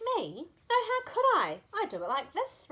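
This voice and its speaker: A woman uses a put-on character voice at an extremely high pitch. She speaks at a moderate pace. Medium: read story.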